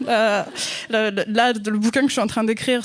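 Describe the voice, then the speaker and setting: Speaking at a fairly quick pace, a woman has a fairly high pitch. The recording is very clean, with a silent background. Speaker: novelist. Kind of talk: casual chat. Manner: hesitant, many fillers.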